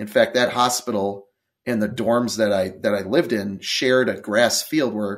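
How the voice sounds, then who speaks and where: A man speaks in a normal speaking voice with an American accent, a medium pitch and ordinary pitch variation. His moderate pace comes through in a very clean recording with a silent background. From Wisconsin, US Midwest. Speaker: cancer survivor, author and motivational speaker. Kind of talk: interview.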